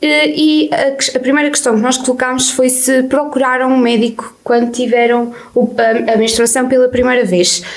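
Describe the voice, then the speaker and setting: A woman with a high pitch talks at a moderate pace, her loudness very even and her intonation fairly even, over noticeable background noise. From Portugal, Viseu district (near Sátão). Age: 20s. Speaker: student radio host. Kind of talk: casual radio chat.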